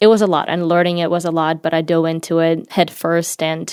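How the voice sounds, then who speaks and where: With a Ukrainian accent, a woman speaks at a fairly low pitch in a very clean recording with a silent background. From Ukraine. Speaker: marketing manager in tech. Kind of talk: interview.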